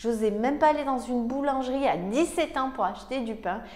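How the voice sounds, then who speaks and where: With an animated tone and high pitch, a woman speaks at a fairly quick pace with ordinary pitch variation. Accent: Provençal. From Provence, southern France. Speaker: success coach. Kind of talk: motivational talk to camera.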